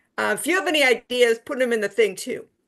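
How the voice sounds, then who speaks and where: Against a quiet background, a woman talks at a fairly quick pace with lively intonation. Her voice carries vocal fry. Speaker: anti-death penalty activist, board treasurer. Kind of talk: casual talk on a video call. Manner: fast.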